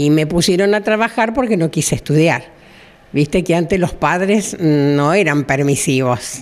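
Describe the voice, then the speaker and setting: In a Rioplatense accent, a woman speaks fairly slowly with a fairly low pitch, lively intonation and very even loudness. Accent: Argentine Spanish (rioplatense, voseo). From Argentina, southern Santa Fe province. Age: 70s. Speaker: retired hairdresser. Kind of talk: interview, personal life story. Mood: warm, nostalgic, smiling. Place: shop. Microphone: handheld.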